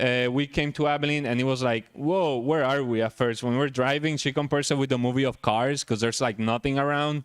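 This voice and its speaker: A man talks at a fairly quick pace in a strong Puerto Rican accent, at a medium pitch with ordinary pitch variation. The recording is very clean, with a silent background. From Puerto Rico (San Juan). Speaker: chiropractor. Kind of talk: talk at a luncheon.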